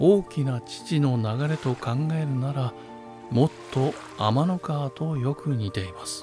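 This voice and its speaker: A soft-spoken man talks at a very slow pace in a fairly high pitch, with a gentle tone. His intonation is lively, and music plays in the background. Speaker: narrator. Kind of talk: sleep story reading. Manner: gentle, soft-spoken, slow.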